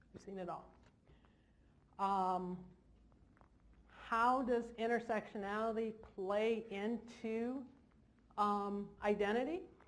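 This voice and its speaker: A woman's fairly high voice at a very slow pace, with fairly even intonation, long and frequent pauses, big swings in loudness, and audible room echo. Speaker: therapist. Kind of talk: seminar talk. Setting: stage with audience.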